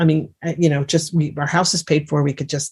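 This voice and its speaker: Her pitch is fairly low and somewhat breathy. The woman talks at a fairly quick pace. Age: 60s. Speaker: remote viewing teacher and author. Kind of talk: interview.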